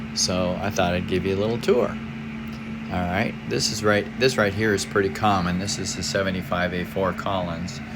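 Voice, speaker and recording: Music plays in the background and room echo is audible as a man with a very deep, low pitch talks at a moderate pace with ordinary pitch variation. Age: 70s. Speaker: amateur radio operator. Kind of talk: equipment tour. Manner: halting; casual.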